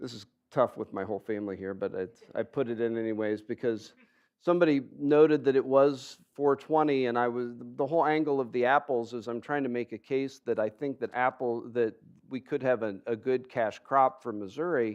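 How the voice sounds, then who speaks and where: A man talks at a fairly quick pace in a medium pitch. His pitch varies in an ordinary way against a quiet background. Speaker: university researcher giving a public talk. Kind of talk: public lecture. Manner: loud; halting, many fillers.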